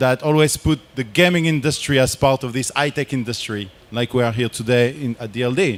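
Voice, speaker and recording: A medium-pitched man with a French accent at a fairly quick pace. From France. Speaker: game industry researcher and board game creator. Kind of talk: conference presentation.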